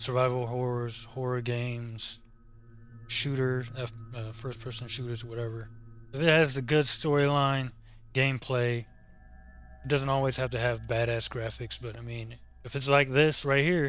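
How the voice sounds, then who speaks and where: With music in the background, a man speaks at a moderate pace in a medium pitch and a monotone, flat intonation. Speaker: gaming YouTuber. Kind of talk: casual gameplay commentary outro. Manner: halting, repeats words; informal, casual.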